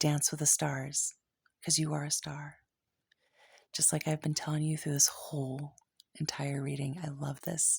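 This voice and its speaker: Soft-spoken and monotone, a woman with a very deep, low pitch talks at a moderate pace with flat intonation. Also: very clean recording, silent background. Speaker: tarot reader. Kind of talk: tarot reading. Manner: halting.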